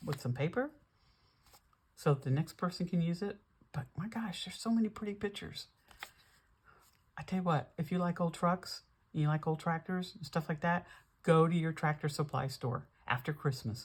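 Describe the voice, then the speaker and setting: A woman with an American accent speaks at a moderate pace in a fairly low, somewhat breathy voice. Her pitch varies in an ordinary way, and she leaves long, frequent pauses. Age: 70s. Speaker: junk journal crafter, YouTuber. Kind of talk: casual craft flip-through chat. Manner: chatty, conversational.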